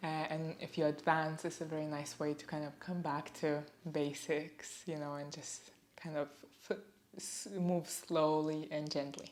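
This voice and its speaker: With a non-native accent, a woman speaks at a fairly slow pace in a very deep, low voice with monotone, flat intonation. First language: not English. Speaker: yoga instructor. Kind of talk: guided yoga class. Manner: calm, gentle; halting.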